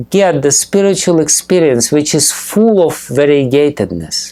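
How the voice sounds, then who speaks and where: Lively intonation marks a man speaking at a fairly slow pace. Noticeable background noise runs behind him. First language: not English. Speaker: spiritual teacher. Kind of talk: lecture. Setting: temple with audience. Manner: halting, many fillers.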